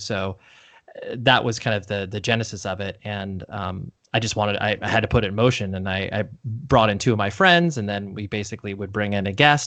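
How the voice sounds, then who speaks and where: A man's bright, sharp voice at a fairly quick pace, with fairly even intonation. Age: 30s. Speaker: podcast host. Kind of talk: casual chat. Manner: halting, many fillers.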